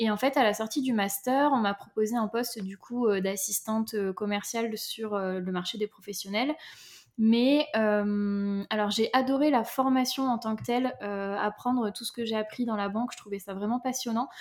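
A woman speaks at a moderate pace in an ordinary speaking voice, her pitch fairly high and her intonation fairly even. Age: 30s. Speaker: entrepreneur and business mentor. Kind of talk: interview.

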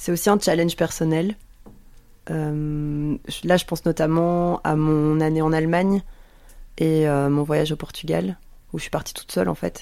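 Speaking at a fairly slow pace with long, frequent pauses, a woman uses a very deep, low pitch, fairly even intonation and a dark, mellow tone. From Belgium, Brussels. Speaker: podcast host. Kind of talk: casual radio chat. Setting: radio studio.

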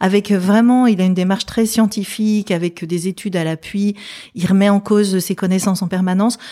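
A woman's dark, mellow tone in monotone, flat intonation. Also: medium pitch for a woman, fairly quick pace. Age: 50s. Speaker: psychologist. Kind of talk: casual interview chat.

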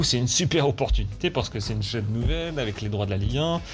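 Through noticeable background noise, a man speaks with very wide pitch swings. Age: 30s. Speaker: sports journalist. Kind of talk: interview.

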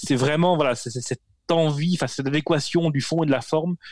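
At a fairly slow pace, a man talks with a fairly high pitch and fairly even intonation. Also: dry, close sound with no echo. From rural France. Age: 40s. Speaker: newsletter media founder. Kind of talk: interview. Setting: video call. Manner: halting, many repetitions.

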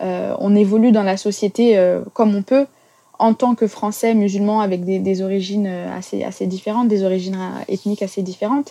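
This is a woman with an ordinary speaking voice at medium pitch. Her intonation is fairly even. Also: fairly quick pace. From France. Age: 30s. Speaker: English teacher. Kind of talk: testimony.

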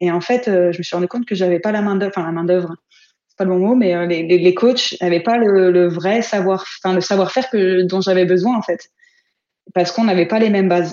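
Fairly quick and fairly even in intonation, a woman talks at a medium pitch in a plain, everyday voice. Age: 30s. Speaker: football player and coach. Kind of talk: interview.

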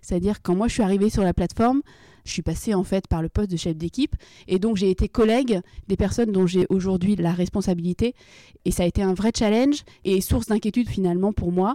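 A woman talks at a fairly quick pace in a dark, mellow tone at medium pitch, with ordinary pitch variation and very even loudness. The sound is dry and close with no echo, on a very clean recording with a silent background. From Brittany, France (Rennes). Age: 20s. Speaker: logistics operations manager. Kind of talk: interview. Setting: on location.

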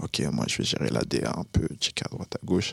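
Vocal fry marks this man's speech at a moderate pace, recorded with a dry, close sound and no echo. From Burkina Faso. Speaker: rapper. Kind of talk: casual chat. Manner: halting.

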